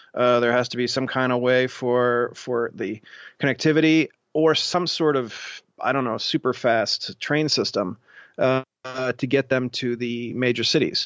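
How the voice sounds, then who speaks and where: An unremarkable speaking voice from a man, medium-pitched, fairly slow, with fairly even intonation. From Ohio (Columbus). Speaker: tech journalist and entrepreneur. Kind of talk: interview.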